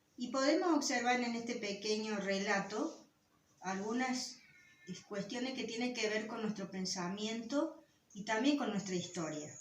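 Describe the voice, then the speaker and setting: Speaking at a fairly slow pace, a woman uses a fairly high pitch. Noticeable background noise and audible room echo are present. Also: lively intonation. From Guaraní territory. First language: Guaraní (speaking Spanish). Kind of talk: lecture.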